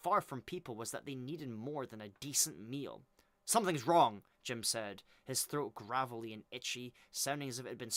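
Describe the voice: Ordinary pitch variation in a plain read-aloud passage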